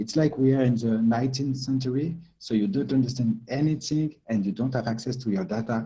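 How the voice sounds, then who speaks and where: In a French accent, the speaker goes at a fairly quick pace with hardly any pauses, using a dark, mellow tone that is somewhat breathy and has ordinary pitch variation. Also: man, medium pitch for a man. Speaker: tech company co-founder. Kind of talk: presentation. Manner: halting, many fillers and repeats.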